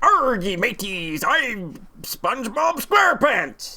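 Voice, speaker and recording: A put-on character voice comes through at a fairly high pitch with very wide pitch swings. The pace is fairly slow, and clear background noise is present. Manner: playful, demonstrating.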